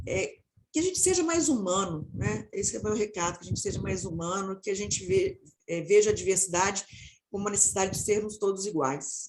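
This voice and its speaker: Somewhat breathy and lively in intonation, a woman talks at a fairly quick pace and medium pitch. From Minas Gerais, Brazil. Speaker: marketing professional turned people/diversity specialist. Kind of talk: panel discussion closing remarks.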